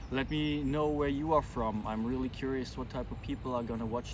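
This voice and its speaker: A man's voice in audible room echo. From Germany. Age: 40s. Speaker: vlogger, pilgrim. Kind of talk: casual vlog talk to camera. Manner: hesitant, many fillers.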